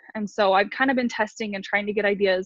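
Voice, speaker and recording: At a fairly quick pace, a woman with an American accent sounds somewhat breathy, her intonation fairly even. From New York. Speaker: network marketing distributor, former special ed teacher. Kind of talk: casual group video call, sharing tips. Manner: fast.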